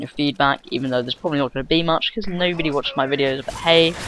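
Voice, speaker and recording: With a British accent, a man speaks at a fairly high pitch and with fairly even intonation. Background noise is noticeable. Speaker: gaming commentator. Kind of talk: gameplay commentary. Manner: mutters and gets tongue-tied; casual, many fillers.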